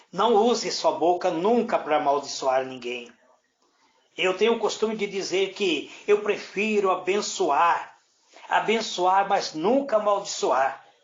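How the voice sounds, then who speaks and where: The room echo is audible as a man with a high pitch talks. He speaks at a fairly slow pace with lively intonation. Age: 60s. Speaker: presbyter / preacher. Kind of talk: sermon. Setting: indoors, prayer group room.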